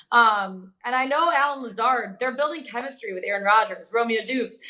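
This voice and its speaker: A woman with an American accent talks at a moderate pace, her high-pitched voice bright and sharp in tone and lively in intonation. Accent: slight Michigan accent, shows at times. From Michigan. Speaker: sports betting show host. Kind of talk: casual sports betting discussion.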